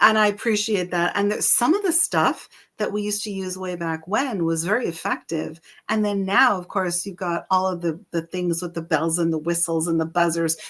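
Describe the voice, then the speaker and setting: Over a silent background in a very clean recording, a woman with an ordinary speaking voice and a medium pitch talks at a moderate pace with ordinary pitch variation. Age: 60s. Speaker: podcast co-host. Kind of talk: casual chat.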